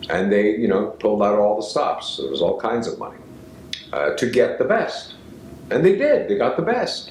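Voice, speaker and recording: A man at a moderate pace, with audible room echo. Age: 60s. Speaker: actor and acting teacher. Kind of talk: storytelling; lecture. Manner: halting.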